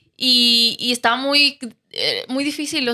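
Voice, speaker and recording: Raised and projected, a woman's high voice carries a bright, sharp tone with monotone, flat intonation. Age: 20s. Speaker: TV show contestant. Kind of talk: casual faith interview.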